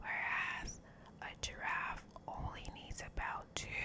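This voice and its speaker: Someone whispers at a very slow pace. Noticeable background noise can be heard. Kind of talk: whispered ASMR fact reading. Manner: whispered, soft, relaxing.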